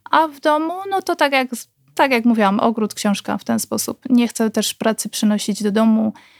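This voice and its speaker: A woman speaks fairly quickly at a fairly high pitch, somewhat breathy. The very clean recording has a silent background and a dry, close sound with no echo. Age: 30s. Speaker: nurse. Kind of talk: casual chat.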